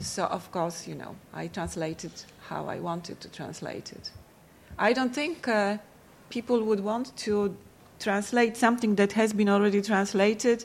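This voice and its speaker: A woman with a Polish accent talks at a moderate pace in a medium pitch, with ordinary pitch variation and big swings in loudness. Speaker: panel moderator and translator. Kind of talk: panel moderation and discussion. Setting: stage with audience at a library.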